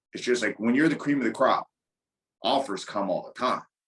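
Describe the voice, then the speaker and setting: A man with a normal speaking voice talks at medium pitch and a fairly quick pace. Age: 30s. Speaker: Muay Thai and MMA striking coach. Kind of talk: casual chat.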